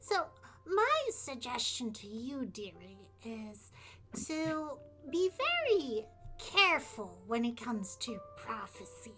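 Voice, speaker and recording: Over clear background music, a woman uses a put-on character voice, high and strained. She delivers it at a fairly slow pace. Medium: actual play. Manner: folksy, calls people dearie.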